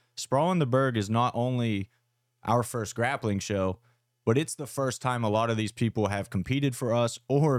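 A man with an unremarkable speaking voice talks at a moderate pace and medium pitch, using ordinary pitch variation, in a dry, close sound with no echo. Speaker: fight promotion podcast co-host. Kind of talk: casual chat.

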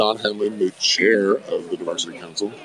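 A man is talking. His pace is moderate, and noticeable noise is in the background. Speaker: podcast host. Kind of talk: casual interview chat. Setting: live event outdoors.

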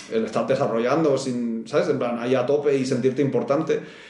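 A man talks at a fairly quick pace with a medium pitch, amid audible room echo and noticeable background noise. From Spain (Barcelona). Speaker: video game VFX artist. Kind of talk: casual interview chat.

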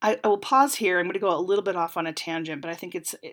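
A woman with a normal speaking voice talks at a fairly low pitch with ordinary pitch variation on a very clean recording with a silent background. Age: 40s. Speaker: podcast host. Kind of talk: solo commentary podcast. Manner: casual with frequent fillers.

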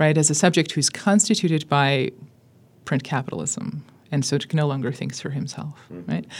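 A woman with an American accent talks at a fairly quick pace in a very deep, low pitch, her intonation lively and her voice showing vocal fry. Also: very clean recording, silent background. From US, Southern California (Armenian community). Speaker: professor of Russian literature. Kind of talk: interview.

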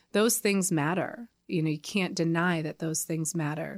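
In a very clean recording with a silent background, a woman with an American accent and an unremarkable speaking voice talks at a moderate pace, fairly low in pitch with ordinary pitch variation. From Connecticut, US. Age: 40s. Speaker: nonprofit founder. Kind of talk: interview.

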